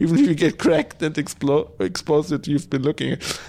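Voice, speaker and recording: A man with a fairly high pitch at a fairly quick pace. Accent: German. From Germany. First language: German. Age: 30s. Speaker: podcast host. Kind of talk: solo podcast monologue. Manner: animated ranting; halting, many fillers and restarts.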